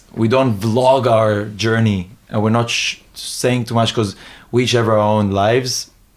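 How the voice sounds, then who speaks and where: Speaking at a moderate pace, a man talks with an Israeli accent. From Israel, then Hong Kong from age 13. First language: Hebrew. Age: 20s. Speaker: new media entrepreneur and street interviewer. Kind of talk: podcast interview. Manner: halting, many fillers and restarts.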